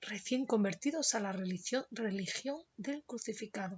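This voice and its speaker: Soft-spoken, a woman with a fairly high pitch talks at a very slow pace with lively intonation. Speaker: Spanish teacher. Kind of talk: literary story reading.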